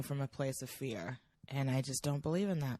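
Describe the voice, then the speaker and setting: A woman talks at a moderate pace. The sound is dry and close with no echo, over a quiet background. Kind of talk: podcast conversation.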